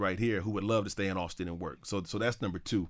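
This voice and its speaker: On a very clean recording with a silent background, a man with an American accent speaks at a very fast pace in an animated tone with ordinary pitch variation. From US Midwest, Cleveland, Ohio. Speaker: history professor and university administrator. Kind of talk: interview. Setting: studio. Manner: casual.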